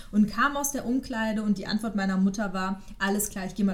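A woman with a medium pitch and a somewhat breathy voice speaks at a fairly quick pace with fairly even intonation. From Westphalia, Ruhr area, Germany. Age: 30s. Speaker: podcast co-host. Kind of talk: casual chat.

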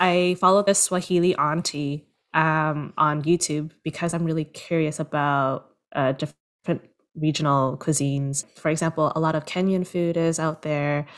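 Over a silent background in a very clean recording, a woman with a very deep, low pitch speaks at a moderate pace in a monotone, flat intonation. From Toronto, Canada. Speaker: producer and screenwriter. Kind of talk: casual interview chat. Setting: home, father cooking in background.

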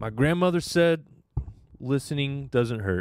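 A man talks with an American accent at a moderate pace. His intonation is lively. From Northern California. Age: 20s. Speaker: stand-up comedian. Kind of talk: casual chat. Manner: laid-back.

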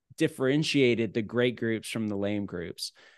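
A man with an ordinary speaking voice, medium pitch, and lively intonation, at a moderate pace, in a dry, close sound with no echo and a quiet background. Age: 40s. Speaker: ministry CEO and former groups pastor. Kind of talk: interview.

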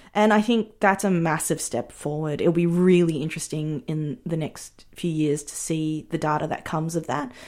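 A woman's very deep, low voice with an Australian accent and ordinary pitch variation, on a very clean recording with a silent background. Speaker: filmmaker. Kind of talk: interview.

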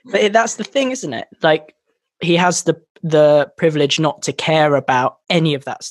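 Recorded with a dry, close sound and no echo, a man with an English accent speaks at a fairly high pitch and a moderate pace, his intonation lively. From English countryside. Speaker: podcast host, songwriter. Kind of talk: casual chat. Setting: remote call.

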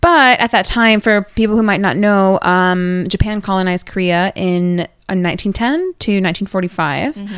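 An ordinary speaking voice, a woman with an American accent talks at medium pitch and a moderate pace with ordinary pitch variation. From United States. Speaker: podcast co-host, Korea blogger. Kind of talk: casual chat.

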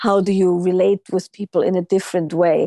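Speaking at a moderate pace in a German accent, a woman with a dark, mellow tone and medium pitch keeps a monotone, flat intonation, recorded dry and close with no echo. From Austria. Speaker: intimacy and relationship teacher. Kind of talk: interview.

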